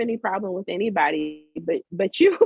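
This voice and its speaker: Using lively intonation, a woman with an American accent speaks in an animated tone. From northern New Jersey. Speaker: food scientist. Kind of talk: casual interview conversation. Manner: talks with a smile; animated, many fillers.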